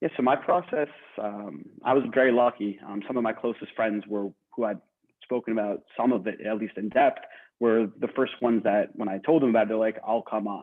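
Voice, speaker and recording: This man uses a plain, everyday voice with an American accent at medium pitch. He talks at a fairly quick pace with ordinary pitch variation. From New Jersey. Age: 20s. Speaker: podcaster. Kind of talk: panel interview. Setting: video call.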